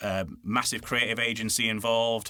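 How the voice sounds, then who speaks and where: Bright and sharp in tone, a man talks with a Yorkshire accent. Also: very clean recording, silent background. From Yorkshire, northern England. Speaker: voiceover artist and radio presenter. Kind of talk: casual interview chat. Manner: hesitant, many fillers and restarts.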